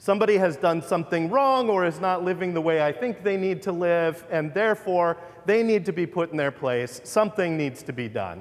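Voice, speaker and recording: A man speaks loudly in a high pitch. His intonation is lively. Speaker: pastor. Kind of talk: sermon. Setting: church.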